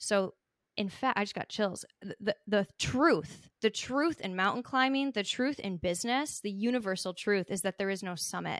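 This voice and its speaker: A woman speaks at a moderate pace and medium pitch, animated in tone and lively in intonation. The sound is dry and close with no echo, on a very clean recording with a silent background. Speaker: business coach and podcast host. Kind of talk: interview answers, motivational talk. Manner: animated, emotional.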